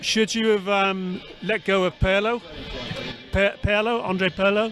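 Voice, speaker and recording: A man's high voice in an English accent, monotone and flat, at a fairly slow pace with very even loudness and music in the background. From England. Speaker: podcast host. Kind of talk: casual interview.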